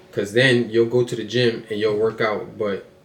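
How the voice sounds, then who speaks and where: Fairly even intonation marks this man's medium-pitched voice. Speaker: motivational podcaster. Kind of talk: motivational monologue. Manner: fast; casual, repetitive with filler words.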